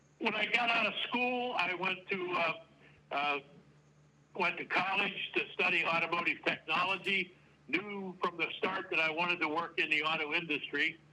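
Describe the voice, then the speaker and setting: Noticeable background noise accompanies a man talking at a moderate pace. His voice is high, with ordinary pitch variation. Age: 70s. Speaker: retired auto plant manager. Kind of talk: interview. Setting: remote audio-only call. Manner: halting, many fillers.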